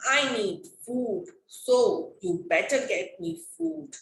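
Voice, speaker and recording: Using a put-on character voice, a woman speaks high-pitched at a very slow pace, with a slight echo. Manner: menacing, demanding.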